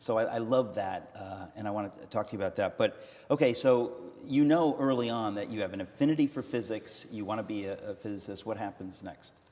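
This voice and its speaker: A plain, everyday voice, this man talks at a fairly quick pace and medium pitch with an American accent and ordinary pitch variation. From United States. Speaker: interviewer host. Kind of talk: interview on stage. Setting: stage with audience.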